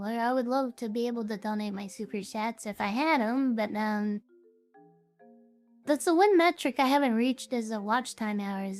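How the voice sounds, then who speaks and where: With music in the background, a woman talks at a moderate pace and ordinary pitch variation. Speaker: vtuber streamer. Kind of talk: casual chat. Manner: animated.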